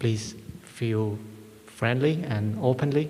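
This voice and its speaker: A man with a Vietnamese accent and a medium pitch, with audible room echo and noticeable background noise. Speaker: Buddhist monk, dharma teacher. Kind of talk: hosting a Q&A session. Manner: halting, many fillers.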